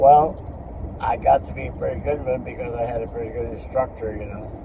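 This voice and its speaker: A man with an American accent shows big swings in loudness over noticeable background noise. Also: fairly quick pace. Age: 80s+. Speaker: retired floor man and war veteran. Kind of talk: interview answer.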